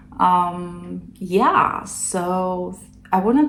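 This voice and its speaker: Someone with a non-native accent talks amid audible room echo. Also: woman. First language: not English. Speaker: knitting podcaster. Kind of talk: casual chat. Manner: halting.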